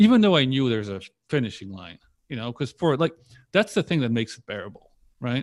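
Speaking with a Polish accent, a man has a medium pitch with very wide pitch swings, in a very clean recording with a silent background. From Poland, moved to US at ten. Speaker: online entrepreneur. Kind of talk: casual interview.

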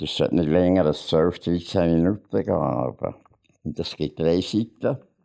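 A man with a Bernese accent speaks fairly slowly in a very deep, low pitch, his tone dark and mellow with vocal fry. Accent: Bernese Swiss German. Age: 80s+. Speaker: author and painter. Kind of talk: casual chat. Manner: halting.

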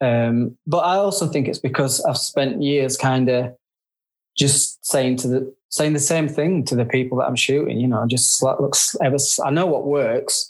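Loudness stays very even as a man with a northern English accent speaks with ordinary pitch variation. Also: fairly high pitch for a man, moderate pace. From northern England. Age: 50s. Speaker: photographer. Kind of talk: casual interview chat.

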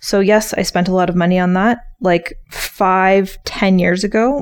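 A woman at medium pitch uses a normal speaking voice with fairly even intonation. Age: 30s. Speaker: podcast co-host, entrepreneur and photographer. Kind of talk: casual chat.

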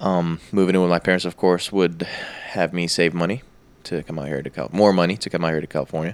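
A man speaks at a very fast pace in a very deep, low pitch. His intonation is fairly even. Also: very clean recording, silent background. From Egypt, moved to US as a child. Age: 30s. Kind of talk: casual chat. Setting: studio.

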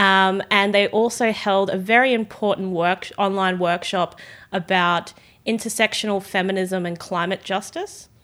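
In an Australian accent, a woman speaks at medium pitch and a moderate pace with fairly even intonation, on a very clean recording with a silent background. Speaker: youth political activist. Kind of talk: casual chat. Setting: studio.

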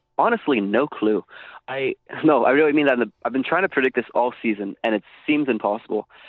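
A man at medium pitch speaks at a very fast pace with ordinary pitch variation. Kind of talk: casual chat about fantasy football. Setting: cottage call.

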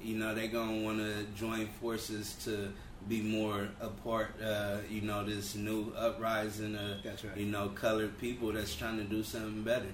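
A man with an American accent speaks in a flat monotone at a moderate pace, barely pausing, with audible room echo and noticeable background noise. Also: fairly low pitch for a man. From Los Angeles (Compton, South Central). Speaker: barbershop owner and entrepreneur. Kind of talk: casual interview about life story.

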